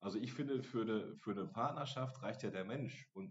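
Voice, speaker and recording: A man at a medium pitch uses very wide pitch swings and vocal fry, speaking at a fairly quick pace. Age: 40s. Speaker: podcast host at a social day center. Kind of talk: casual chat.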